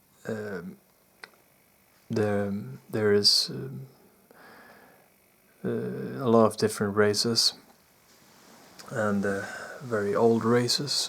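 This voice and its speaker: A man speaks very slowly at a fairly low pitch, with lively intonation. He leaves long, frequent pauses. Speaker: spiritual experiencer / vlogger. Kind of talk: personal testimony. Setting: indoors in bedroom at night. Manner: soft-spoken, talking low; halting, many fillers.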